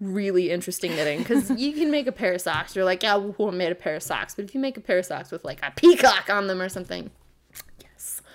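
A woman speaks in an animated tone at a medium pitch and a fairly quick pace. Her pitch swings very widely. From Eugene, Oregon, US. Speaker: podcast co-host. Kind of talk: casual chat.

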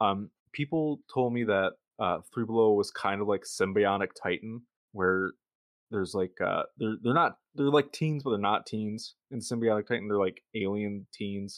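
With a Michigan accent, the speaker talks at a moderate pace with ordinary pitch variation. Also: man, fairly low pitch for a man. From Michigan, US. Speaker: podcast host. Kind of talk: casual chat.

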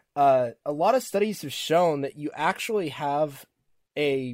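Fairly high and squeaky, a man's voice moves at a fairly slow pace. The recording is very clean, with a silent background. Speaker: podcast host. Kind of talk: casual chat.

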